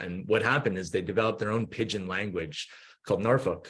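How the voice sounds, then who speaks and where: This man speaks with a Canadian accent. His pitch sits fairly low. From Canada, Vancouver. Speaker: company co-founder. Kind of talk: podcast interview. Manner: halting, many fillers.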